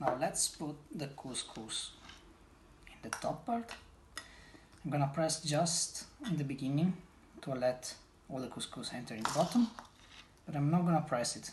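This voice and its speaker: A fairly high-pitched man with an Italian accent, lively intonation, big swings in loudness and long, frequent pauses, over noticeable background noise. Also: moderate pace. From Italy. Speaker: home cook. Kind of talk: casual chat; cooking tutorial.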